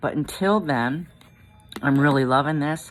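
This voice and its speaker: A woman's very deep, low-pitched voice at a fairly slow pace. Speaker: vlogger sharing denture experience. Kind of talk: casual vlog talk to camera. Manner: animated.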